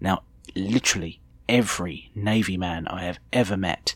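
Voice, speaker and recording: A man with a British accent and a very deep, low pitch, ordinary pitch variation, on a very clean recording with a silent background. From Britain. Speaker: podcast host. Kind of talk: solo commentary podcast.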